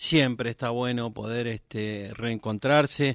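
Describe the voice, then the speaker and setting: A man speaks with fairly even intonation at a medium pitch. The recording is very clean, with a silent background. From Argentina, Formosa province (Las Lomitas). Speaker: singer-songwriter. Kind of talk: casual radio interview. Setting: radio studio, live. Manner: hesitant, many fillers and repetitions.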